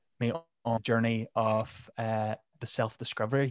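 A very clean recording with a silent background and a dry, close sound with no echo carries a Northern Irish accent at a moderate pace with fairly even intonation. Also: man. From Northern Ireland. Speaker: mental health podcast host. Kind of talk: casual interview.

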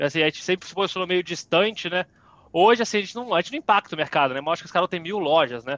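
A bright, sharp tone with lively intonation and a dry, close sound without echo. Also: man. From Brazil, Petrópolis, Rio de Janeiro state. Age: 20s. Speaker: social entrepreneur. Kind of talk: interview talk.

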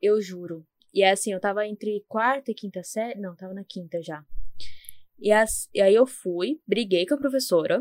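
A woman with a plain, everyday voice speaks at a moderate pace and medium pitch, her loudness swinging widely while her pitch varies in an ordinary way, in a dry, close recording with no echo. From São Paulo, Zona Leste. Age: 20s. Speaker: podcast co-host, university student. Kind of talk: casual chat.

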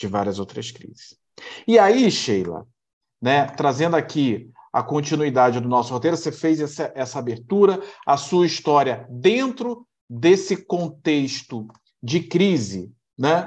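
Very wide pitch swings and big swings in loudness mark a man's fairly high voice at a fairly slow pace. The background is quiet. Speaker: program host. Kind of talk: casual interview chat.

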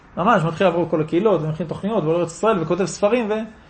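A man talks at a high pitch with an animated tone and ordinary pitch variation. Room echo is audible. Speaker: rabbi giving Torah classes. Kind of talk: Torah lecture with audience discussion. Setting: class in a private home.

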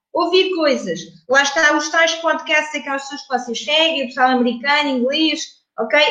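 A woman's high-pitched voice with audible echo from the room. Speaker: English communication trainer. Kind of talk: interview.

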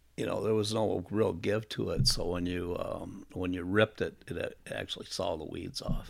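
A man with an Upper Midwest accent speaks at a moderate pace in a very clean recording with a silent background. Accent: Upper Midwest American. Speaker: tournament bass angler, inventor. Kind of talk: interview. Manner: hesitant, many fillers.

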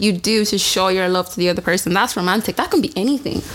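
Noticeable background noise can be heard throughout. Over it, a woman talks at a medium pitch. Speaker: podcast co-host. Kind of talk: casual chat.

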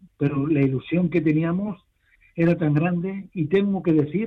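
A man speaks at a moderate pace. His pitch is high, his intonation fairly even. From Barcelona. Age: 70s. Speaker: football fan. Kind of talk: interview.

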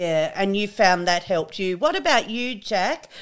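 This speaker has an Australian accent. The intonation is lively. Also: woman, very clean recording, silent background. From Australia, rural New South Wales. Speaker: podcast host, farmer's wife. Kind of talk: casual interview chat.

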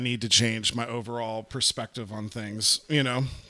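Background noise is noticeable. Through it comes a man's voice of medium pitch. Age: 30s. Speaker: podcast co-host. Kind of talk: casual chat.

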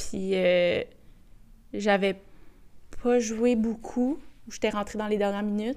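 A woman with a fairly high pitch talks at a very slow pace, with long, frequent pauses and fairly even intonation. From Quebec, Boisbriand. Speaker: soccer player. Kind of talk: interview.

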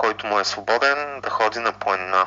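The speaker is a man with a medium pitch. Background noise is noticeable. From Bulgaria, Ruse. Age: 30s. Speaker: software developer and hiker. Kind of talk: interview. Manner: hesitant, many fillers.

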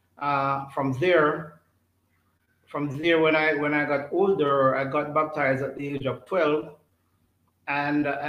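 A man's fairly high voice in monotone, flat intonation at a fairly slow pace, with audible room echo. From Jamaica, St. Catherine. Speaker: church elder, politician and former teacher. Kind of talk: interview. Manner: halting, repetitive.

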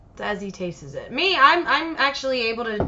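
Very wide pitch swings from a female speaker, with noticeable background noise. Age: 30s. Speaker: podcast co-host. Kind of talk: casual chat.

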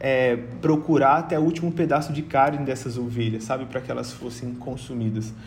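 Somewhat breathy, a man speaks at a medium pitch. His intonation stays fairly even, and the room echo is audible. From Brazil, Rondônia. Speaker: missionary and Bible study facilitator. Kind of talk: Bible teaching in casual podcast chat. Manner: hesitant, many filler sounds.

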